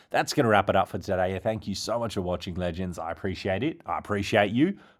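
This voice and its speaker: On a very clean recording with a silent background, an enthusiastic man with an Australian accent and a fairly low pitch speaks at a very fast pace. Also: ordinary pitch variation. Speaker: crypto YouTuber. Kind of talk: video commentary.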